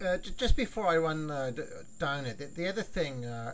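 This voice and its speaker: A man with a British accent speaks at a moderate pace in a fairly high voice with lively intonation, against noticeable background noise and audible room echo. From United Kingdom. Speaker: wrestling history podcaster. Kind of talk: casual chat.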